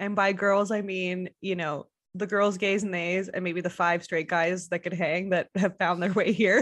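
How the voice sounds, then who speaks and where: Speaking with an American accent at a moderate pace, this voice barely pauses and keeps a flat, monotone intonation throughout. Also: woman, medium pitch for a woman. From Montreal, Quebec. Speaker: guest. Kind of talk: casual chat.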